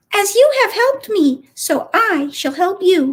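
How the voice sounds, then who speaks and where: Putting on a squeaky character voice, a woman speaks at an extremely high pitch and a fairly slow pace, her pitch swinging very widely. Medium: read story.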